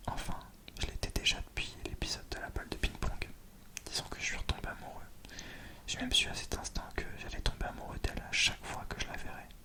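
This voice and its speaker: A man whispers with long, frequent pauses over noticeable background noise. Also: fairly quick pace. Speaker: ASMR creator. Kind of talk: read story. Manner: whispered.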